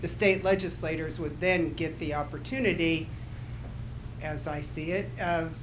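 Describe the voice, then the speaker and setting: A woman speaks in a very deep, low pitch, with audible room echo. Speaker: audience member. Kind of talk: audience question. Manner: loud.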